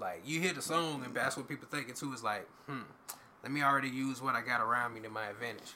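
Against noticeable background noise and audible room echo, a man talks at a very fast pace in a medium pitch with ordinary pitch variation. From Jacksonville, Florida. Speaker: rapper. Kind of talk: casual chat.

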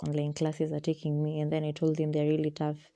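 Against a quiet background, a woman talks at a fairly low pitch in a dark, mellow tone. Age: young (19). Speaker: podcast host, student. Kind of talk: casual monologue. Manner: rambling with code-switching.

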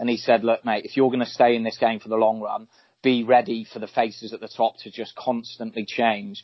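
A man speaks at a fairly quick pace in a medium pitch. His intonation stays monotone and flat while his loudness swings widely. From England, rural Shropshire. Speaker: judo athlete. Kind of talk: casual chat.

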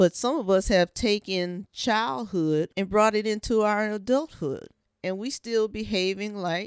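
Recorded very clean and dry, close with no echo, against a silent background, a woman with an unremarkable speaking voice and medium pitch speaks at a fairly slow pace. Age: 50s. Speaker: vlogger sharing life reflections. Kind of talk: personal monologue. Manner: conversational, with frequent fillers.

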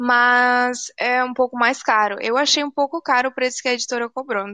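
At a moderate pace, a woman speaks with a high pitch and a bright, sharp tone, the sound dry and close with no echo. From Tocantins, Brazil (Palmas), born in Rio Grande do Sul. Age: 18. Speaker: poet, author, student. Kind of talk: casual interview chat.

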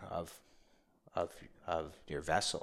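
This is a man speaking. He has a New York accent. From New York City (Bronx). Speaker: men's coach. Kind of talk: casual interview.

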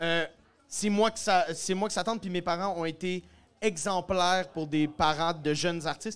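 This man has a high pitch and a fairly even intonation, speaking at a moderate pace. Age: 20s. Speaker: comedian and musician. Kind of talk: casual chat. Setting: stage with audience.

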